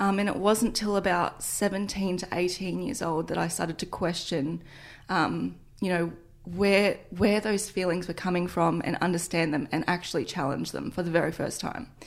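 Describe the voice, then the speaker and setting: The speaker keeps a moderate pace and fairly even intonation. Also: woman, fairly low pitch for a woman. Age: 20s. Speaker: fitness entrepreneur and influencer. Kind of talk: interview testimony.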